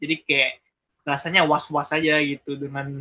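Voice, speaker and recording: A man speaks at a moderate pace in a fairly high pitch. His tone is bright and sharp. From Palembang, South Sumatra, Indonesia. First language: Palembang Malay (speaking Indonesian). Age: 20s. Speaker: interviewee, migrant worker. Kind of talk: interview. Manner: casual, hesitant with fillers.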